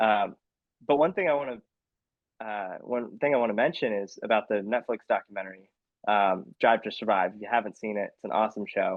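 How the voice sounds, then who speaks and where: With a General American accent, a man talks at a fairly quick pace in fairly low pitch, with ordinary pitch variation and an unremarkable speaking voice. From US West Coast, San Diego. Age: 20s. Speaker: racecar driver. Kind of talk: podcast interview.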